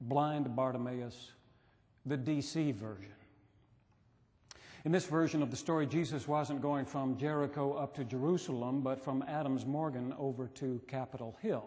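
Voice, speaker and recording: A somewhat breathy man with ordinary pitch variation. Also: moderate pace. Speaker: pastor. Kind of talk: sermon. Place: church. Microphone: podium.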